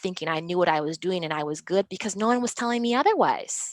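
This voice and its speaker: A woman with an American accent speaks at medium pitch and a fairly quick pace, with ordinary pitch variation, in a dry, close sound with no echo. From Minnesota, Minneapolis-St Paul. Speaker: interpreter and trainer. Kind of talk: interview. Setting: video call. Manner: fast.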